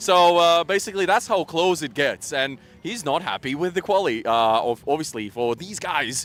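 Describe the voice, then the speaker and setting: This man has a non-native accent and a fairly high pitch, speaking at a fairly quick pace with lively intonation. The recording is very clean, with a silent background. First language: not English. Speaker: motorsport paddock reporter. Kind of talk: live event coverage chat.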